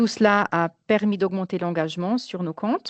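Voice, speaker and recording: A woman's medium-pitched voice with ordinary pitch variation, dry and close with no echo. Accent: non-native. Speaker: marketing project manager. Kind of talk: webinar presentation. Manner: halting, many hesitations.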